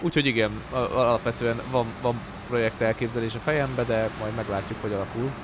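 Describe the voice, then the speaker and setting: A man's voice at a fairly quick pace, with fairly even intonation, a dry sound with no echo, and noticeable background noise. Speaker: gaming streamer. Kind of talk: live gameplay commentary. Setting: home stream. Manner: casual, rambling with frequent repetitions. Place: home room. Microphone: studio mic.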